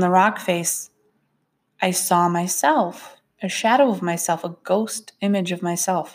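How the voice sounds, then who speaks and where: A normal speaking voice moves at a fairly slow pace with ordinary pitch variation, on a very clean recording with a silent background. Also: woman. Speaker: podcast host sharing spiritual experiences. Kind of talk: personal storytelling monologue.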